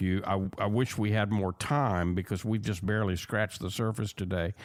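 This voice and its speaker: A man with a Southern accent speaks at a moderate pace in a fairly low voice. The recording is very clean, with a silent background. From US South. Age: 60s. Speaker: radio host. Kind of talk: radio interview.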